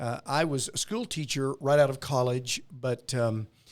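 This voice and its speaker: Pitched fairly high, a man speaks with an American accent at a moderate pace. His pitch varies in an ordinary way. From western Arkansas. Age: 60s. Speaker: pastor. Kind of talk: podcast interview, personal testimony.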